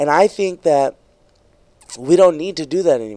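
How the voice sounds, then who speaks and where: At a moderate pace, the voice has a dark, mellow tone, heard dry with no echo against a quiet background. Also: man. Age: 20s. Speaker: stand-up comedian; comedian podcast guest. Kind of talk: casual chat. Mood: relaxed, opinionated. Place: studio. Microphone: studio mic.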